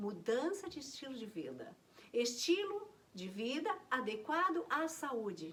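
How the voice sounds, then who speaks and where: A woman's voice with lively intonation. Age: 60s. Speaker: naturopathy teacher. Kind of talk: health talk to camera.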